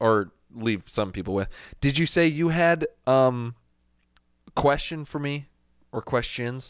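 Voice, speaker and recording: Speaking at a fairly slow pace with long, frequent pauses, a man holds a medium pitch for a man. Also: lively intonation, very clean recording, silent background. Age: 30s. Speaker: podcast co-host. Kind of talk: casual chat.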